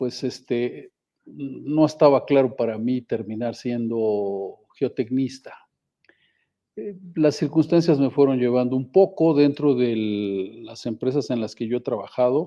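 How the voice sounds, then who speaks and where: A man speaks very slowly at a medium pitch. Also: ordinary pitch variation. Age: 60s. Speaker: geotechnical engineer. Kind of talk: podcast interview.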